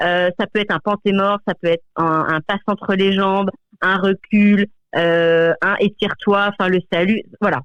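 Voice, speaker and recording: The voice moves at a fairly slow pace in a monotone, flat intonation. Its loudness stays very even. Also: woman, medium pitch for a woman. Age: 40s. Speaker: dog trainer. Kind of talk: radio interview. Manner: halting, many repetitions and fillers.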